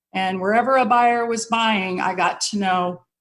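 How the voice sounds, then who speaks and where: Speaking in an American accent, a woman uses an ordinary speaking voice at a moderate pace with fairly even intonation. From Colorado, US (Denver). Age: 60s. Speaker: mortgage executive. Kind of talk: interview.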